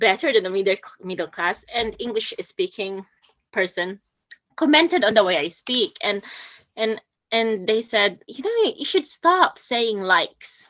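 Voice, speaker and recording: A woman talks at a fairly slow pace in a Filipino accent. Her pitch swings very widely. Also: fairly high pitch for a woman. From Philippines. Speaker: poet and nurse. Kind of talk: talk at a poetry workshop. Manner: halting, many fillers and repeats.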